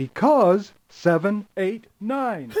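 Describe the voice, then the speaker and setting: A put-on character voice, female-sounding, at a middle pitch. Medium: video game. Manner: friendly, patient.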